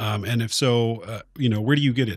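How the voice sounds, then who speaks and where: Here a man speaks in a plain, everyday voice with an American accent, at a moderate pace and with ordinary pitch variation. The recording is very clean, with a silent background. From Oklahoma. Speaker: podcast co-host and military firefighter. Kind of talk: casual chat.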